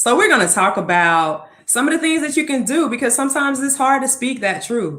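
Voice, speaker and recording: A woman speaks at a moderate pace in a high, bright, sharp voice with an animated tone and very wide pitch swings. Audible room echo surrounds her. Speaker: talk show host. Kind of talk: casual vlog talk.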